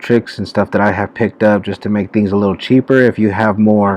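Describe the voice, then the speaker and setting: A man's quiet, fairly low voice, monotone and flat, with a dry sound and no echo. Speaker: YouTuber teaching online marketing; online business tutorial creator. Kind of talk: tutorial. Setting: public library. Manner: quiet, low-voiced. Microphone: webcam.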